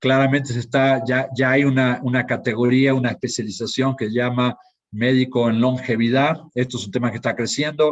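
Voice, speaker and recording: A monotone, flat delivery at a fairly quick pace. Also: man, medium pitch for a man. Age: 60s. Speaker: pharmaceutical industry executive. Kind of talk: conference talk. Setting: live online conference. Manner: hesitant, with fillers and repetitions.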